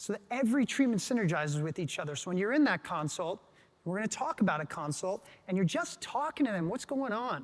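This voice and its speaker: This man's voice sits high. His intonation is lively. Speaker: med spa business owner. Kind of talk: conference talk. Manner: fast.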